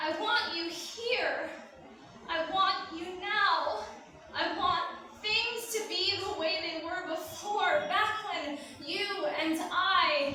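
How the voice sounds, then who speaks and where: Raising and projecting her extremely high voice, a woman speaks very slowly over noticeable background noise. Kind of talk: spoken word poetry performance. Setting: live event. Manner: emotional, grieving.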